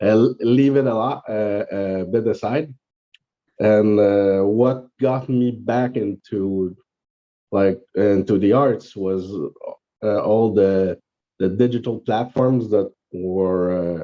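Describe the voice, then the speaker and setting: A man with a Quebec accent speaks at a very slow pace with long, frequent pauses. His voice is fairly low, his intonation fairly even. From Quebec, South Shore of Montreal. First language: French. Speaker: artist. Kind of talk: interview. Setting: podcast recording. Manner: halting, many fillers.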